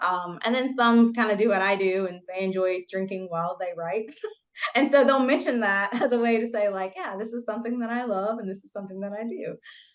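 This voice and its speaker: A voice in a Southern US accent shows big swings in loudness and ordinary pitch variation. Noticeable background noise runs underneath. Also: woman, medium pitch for a woman. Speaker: debut novelist. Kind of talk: interview.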